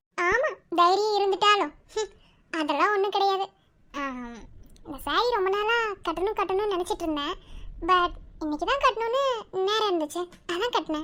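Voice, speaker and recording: In a cartoonish character voice, a woman speaks at an extremely high pitch. Her intonation is lively and her pace moderate. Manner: warm, familiar, soft-spoken.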